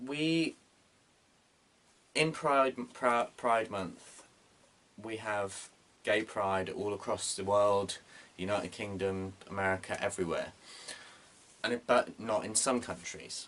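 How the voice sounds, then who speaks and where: With a British accent, a man speaks at a very slow pace and a fairly low pitch, with ordinary pitch variation and long, frequent pauses. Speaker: vlogger. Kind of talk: casual monologue vlog. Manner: loud; animated.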